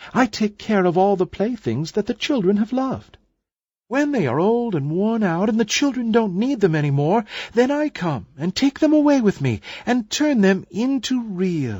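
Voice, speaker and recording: Against a quiet background, a put-on character voice with a fairly high pitch speaks at a moderate pace. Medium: read story. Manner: tender, kindly.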